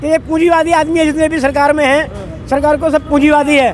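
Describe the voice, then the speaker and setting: With crowd noise in the background, a man with an extremely high pitch speaks at a moderate pace. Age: 70s. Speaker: protester at farmers' rally. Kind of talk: street interview.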